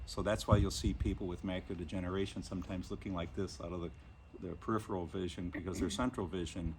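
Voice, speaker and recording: A man's very deep, low voice, somewhat breathy. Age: 60s. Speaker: blind vlogger with inherited retinal disease. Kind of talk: casual explanatory talk.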